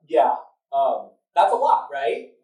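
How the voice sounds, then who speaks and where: A man's dark, mellow tone carries through audible room echo. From South Korea. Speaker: event moderator. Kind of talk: public talk to live audience. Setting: stage with audience. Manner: loud; animated.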